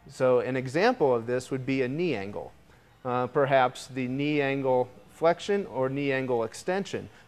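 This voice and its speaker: A man speaks with ordinary pitch variation as faint music plays in the background. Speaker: presenter. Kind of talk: product demo presentation. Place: studio. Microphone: lapel.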